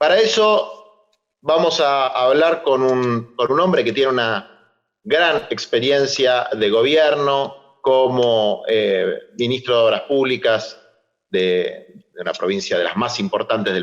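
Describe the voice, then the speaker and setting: Here a man talks at a very slow pace. His fairly high voice moves with lively intonation. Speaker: moderator, social movement leader. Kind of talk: panel discussion moderation.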